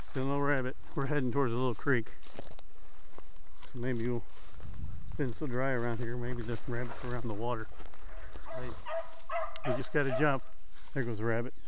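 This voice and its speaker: Loud background noise runs behind a man. He speaks at a fairly quick pace, and the sound is dry with no echo. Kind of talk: casual vlog chat. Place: open country. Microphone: phone near.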